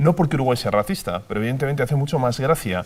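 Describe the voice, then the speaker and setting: A man talks at a very fast pace. He speaks with a Spanish accent. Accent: Spanish (Spain), unchanged. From Spain. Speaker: TV presenter / popularizer. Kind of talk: TV panel discussion.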